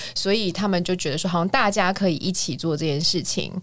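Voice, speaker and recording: A woman speaks at a medium pitch with lively intonation. Her pace is fairly quick. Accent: Taiwanese. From Taiwan, Kaohsiung. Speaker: musical theatre singer and voice teacher. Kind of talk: casual chat.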